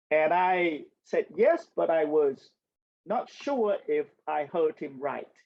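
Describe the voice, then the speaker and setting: With a Vietnamese accent, a man speaks at a very slow pace. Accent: Vietnamese accent, noticeable. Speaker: census expert and community speaker. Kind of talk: community talk with Q&A. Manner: hesitant, many ums and restarts.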